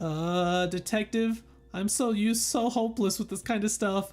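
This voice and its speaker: Music plays in the background as a squeaky, put-on character voice at a fairly high pitch talks at a moderate pace. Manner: timid, helpless.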